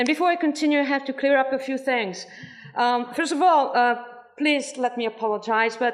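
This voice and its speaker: At a fairly quick pace, a woman with a high pitch speaks with ordinary pitch variation. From France. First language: French. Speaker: former cult member speaking at a protest. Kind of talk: testimony. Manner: halting.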